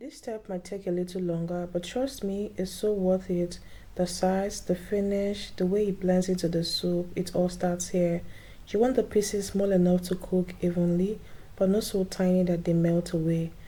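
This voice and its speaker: Woman's voice, somewhat breathy with a dark, mellow tone, medium in pitch, fairly even in intonation and moderate in pace. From Nigeria, Abia State (Igbo). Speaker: cooking vlogger. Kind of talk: cooking tutorial narration.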